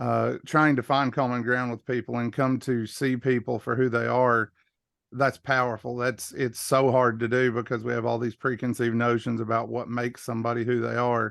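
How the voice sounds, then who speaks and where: At a moderate pace, a man in a Southern US accent speaks at a medium pitch with monotone, flat intonation. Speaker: workshop participant. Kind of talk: casual chat.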